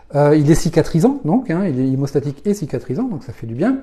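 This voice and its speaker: Against a quiet background, a man speaks with a dark, mellow tone and a fairly high pitch. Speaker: naturopath. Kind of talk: live stream talk answering viewer questions. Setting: live video stream. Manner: fast; halting with many fillers.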